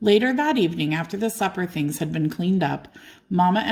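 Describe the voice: Plain, aloud reading marked by lively intonation.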